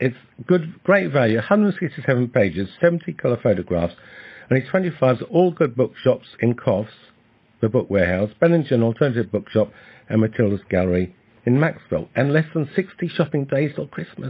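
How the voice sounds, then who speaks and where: The man's voice sits at a medium pitch and sounds somewhat breathy. He speaks fairly quickly, with very wide pitch swings. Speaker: poet and author. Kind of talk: radio interview. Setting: radio studio.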